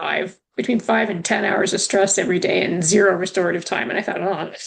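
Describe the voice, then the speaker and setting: A woman with a Canadian accent talks in an ordinary speaking voice at medium pitch, moving at a fairly quick pace with fairly even intonation. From Canada. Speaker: returning guest. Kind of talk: casual chat.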